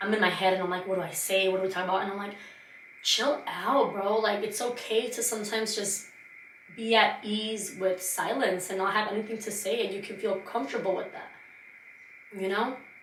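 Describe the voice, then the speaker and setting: A woman speaks at a medium pitch and a fairly quick pace, her tone animated. Room echo is audible, and there is noticeable background noise. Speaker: podcast host. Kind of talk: casual monologue. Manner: fast.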